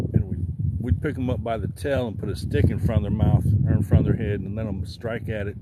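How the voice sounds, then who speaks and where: Against noticeable background noise, a man with a fairly low pitch talks in an American accent. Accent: rural country. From Southern Illinois. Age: 40s. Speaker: outdoor livestreamer. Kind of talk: casual livestream chat. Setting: outdoors fishing.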